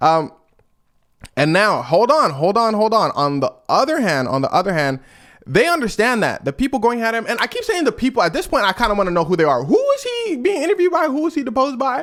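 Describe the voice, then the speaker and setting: A man speaks very fast in an animated tone, his extremely high voice swinging very widely in pitch. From Los Angeles, California. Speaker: podcast host. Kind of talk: casual chat.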